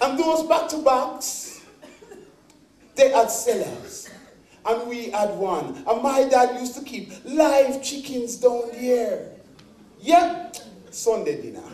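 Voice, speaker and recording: A man speaks very slowly in a Jamaican accent, at an extremely high pitch, with lively intonation and big swings in loudness. Long, frequent pauses break up his speech over noticeable background noise. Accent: English with Jamaican patois touches. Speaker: stage performer. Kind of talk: one-man stage show monologue. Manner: humorous, storytelling, talking to audience.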